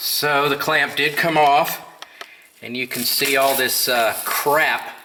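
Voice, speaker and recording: Through noticeable background noise, a man speaks with fairly even intonation. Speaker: DIY auto repair vlogger. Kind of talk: tutorial. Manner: casual, with many filler words.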